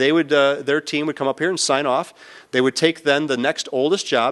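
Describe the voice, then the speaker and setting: The background is quiet. A man speaks in a fairly high pitch with ordinary pitch variation. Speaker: business executive giving conference talk. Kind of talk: conference presentation. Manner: fast.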